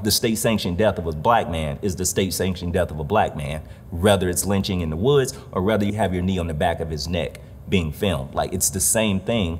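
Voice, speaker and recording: Under light background noise, a man with a very deep, low voice talks at a very fast pace. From Detroit, Michigan. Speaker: visual artist. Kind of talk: interview monologue. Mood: earnest, reflective. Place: hall. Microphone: lapel.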